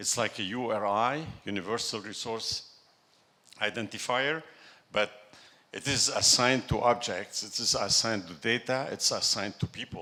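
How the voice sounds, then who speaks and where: Speaking with a French accent, a man has a medium pitch and a bright, sharp tone. His moderate pace is broken by long, frequent pauses, and his pitch varies in an ordinary way. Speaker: tech executive, conference speaker. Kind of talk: conference talk. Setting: stage with audience. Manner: halting.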